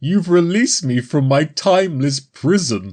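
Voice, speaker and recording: Pitched in the middle range, this voice is a put-on character voice. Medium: read story. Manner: amused, casual.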